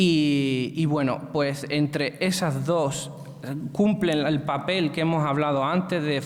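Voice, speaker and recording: A man speaks at a fairly high pitch with fairly even intonation, over noticeable background noise and audible room echo. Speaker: presenter on social economy. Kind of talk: lecture. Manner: slowed down deliberately; hesitant, many fillers.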